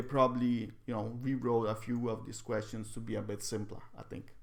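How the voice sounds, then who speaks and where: A man with a non-native accent at a moderate pace. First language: not English. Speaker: psychology video creator. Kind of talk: casual explainer video. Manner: halting, with repetitions.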